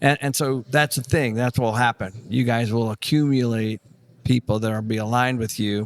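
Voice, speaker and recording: A man at a moderate pace, medium in pitch with fairly even intonation, in a dry, close sound with no echo. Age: 60s. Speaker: real estate investor. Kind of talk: casual chat. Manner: halting.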